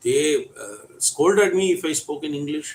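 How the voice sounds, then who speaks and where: The speaker talks at a fairly slow pace with a Tamil Indian accent. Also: man. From India, Tamil Nadu. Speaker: English teacher. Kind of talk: storytelling.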